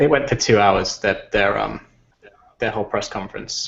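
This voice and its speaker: Speaking fairly quickly, a man talks in an English accent. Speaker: video game podcast host. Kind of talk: casual chat. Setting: video call.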